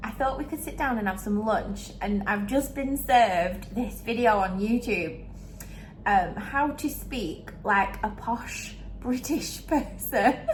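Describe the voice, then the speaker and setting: A woman with a northern English accent talks at a very slow pace, with ordinary pitch variation. Noticeable background noise can be heard. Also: fairly high pitch for a woman. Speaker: vlogger.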